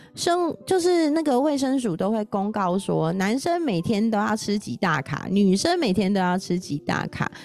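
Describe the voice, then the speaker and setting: Very wide pitch swings mark this fairly slow delivery. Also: woman. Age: 40s. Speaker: podcast host. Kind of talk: casual solo talk about a book on nutrition. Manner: animated.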